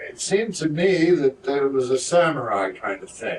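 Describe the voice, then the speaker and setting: Over noticeable background noise, a man with a fairly high pitch speaks at a fairly slow pace using lively intonation. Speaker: actor at fan convention. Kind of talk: convention panel Q&A. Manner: halting, many fillers.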